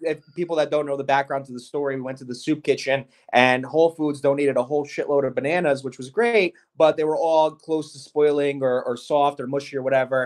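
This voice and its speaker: A man speaks with a New Jersey accent at a fairly high pitch. He talks at a very fast pace. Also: big swings in loudness. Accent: New Jersey American. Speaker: gelato chef and shop owner. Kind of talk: interview. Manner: animated.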